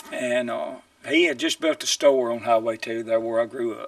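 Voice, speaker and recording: Speaking at a moderate pace, a man with a Mississippi accent is heard in a dry, close sound with no echo. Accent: Mississippi Southern. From US South, Mississippi (Tippah County). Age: 60s. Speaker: political candidate. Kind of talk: campaign statement; interview. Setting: TV studio.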